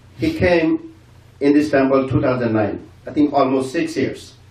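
A man talks very slowly with ordinary pitch variation. There is audible echo from the room. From Bangladesh. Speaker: community member; speaker. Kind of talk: farewell speech. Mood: respectful, grateful. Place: hall.

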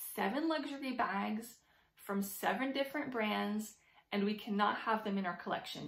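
Moderate pace and ordinary pitch variation from a woman, with audible room echo over a quiet background. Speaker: handbag vlogger. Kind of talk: casual vlog chat. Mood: cheerful, enthusiastic. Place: home room. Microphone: phone near.

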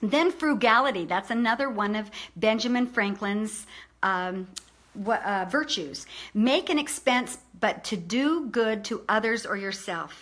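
A fairly high-pitched woman with lively intonation and an animated tone. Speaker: online video presenter. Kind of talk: informal motivational talk. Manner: fast talker. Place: home room. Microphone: webcam.

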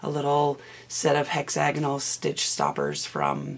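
A woman speaks at a fairly slow pace with a low pitch. Her voice is raspy, with vocal fry.

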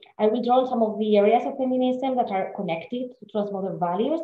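A woman speaks at a very fast pace with audible room echo. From Spain. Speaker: literature scholar. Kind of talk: lecture. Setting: video call.

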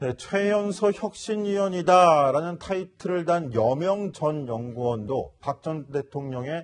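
A somewhat breathy man's voice, fairly high in pitch, with very wide pitch swings against a quiet background. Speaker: news anchor. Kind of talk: news panel discussion. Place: studio. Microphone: lapel.

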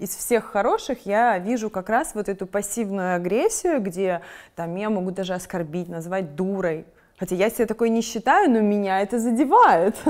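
A woman at a moderate pace, with ordinary pitch variation, over a quiet background. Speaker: video blogger and interviewer. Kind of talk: casual interview. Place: studio. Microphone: lapel.

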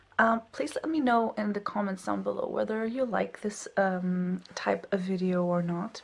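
Soft-spoken, a woman talks at a fairly slow pace with ordinary pitch variation. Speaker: PhD student vlogger. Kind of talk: casual vlog. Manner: quiet, soft-spoken. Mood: relaxed, friendly. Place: home room. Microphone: phone near.

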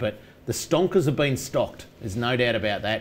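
The speech has lively intonation. It moves at a moderate pace. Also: man, medium pitch for a man.

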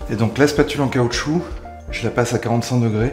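Clear music plays in the background. Over it, a man speaks with ordinary pitch variation. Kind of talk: tutorial. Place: bathroom.

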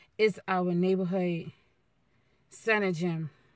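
At a fairly slow pace, a woman speaks in a fairly low pitch with fairly even intonation, the sound dry with no echo. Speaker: vlogger. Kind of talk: casual vlog chat. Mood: playful, joking. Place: car. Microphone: phone near.

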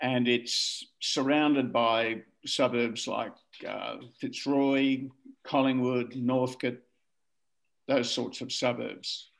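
A man speaks very slowly with an Australian accent, in a monotone, flat intonation. Long, frequent pauses break his speech against a quiet background. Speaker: family historian. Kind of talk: casual chat. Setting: video call. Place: home room. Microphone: video call.

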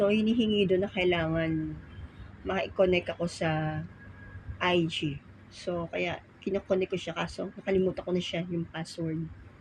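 A somewhat breathy woman's voice, fairly low in pitch, with fairly even intonation and a fairly slow pace. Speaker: vlogger. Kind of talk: casual vlog chat. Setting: at home folding laundry.

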